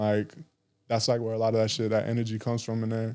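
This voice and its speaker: Quiet and monotone, a man with an American accent speaks in a dark, mellow tone at a medium pitch, on a very clean recording with a silent background. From Arizona, Tucson. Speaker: musician and recording engineer. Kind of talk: casual interview chat. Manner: quiet, chill.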